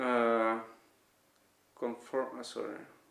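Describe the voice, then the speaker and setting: A man speaks with a Dutch accent at a fairly slow pace. Audible room echo is present. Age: 30s. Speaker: vlogger. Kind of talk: testimony. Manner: halting.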